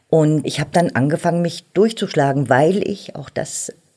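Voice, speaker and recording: A woman's very deep, low-pitched voice, dark and mellow in tone, at a moderate pace. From East Germany, Berlin. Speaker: politician, member of parliament. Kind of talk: interview. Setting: studio.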